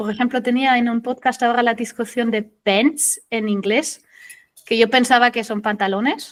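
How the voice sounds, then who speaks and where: Moderate pace and fairly even intonation. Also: woman, fairly high pitch for a woman. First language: German (speaking Spanish). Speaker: SEO consultant. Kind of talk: interview.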